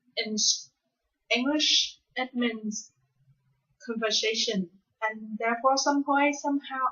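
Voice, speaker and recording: In a Vietnamese accent, a woman speaks very slowly with a fairly high pitch and ordinary pitch variation. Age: 20s. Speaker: university student. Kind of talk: spoken class assignment monologue. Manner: hesitant, many fillers.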